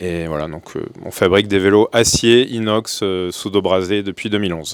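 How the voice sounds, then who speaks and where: Using a plain, everyday voice, a man with a fairly low pitch speaks at a moderate pace. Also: fairly even intonation. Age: 40s. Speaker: bicycle company founder. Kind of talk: panel discussion.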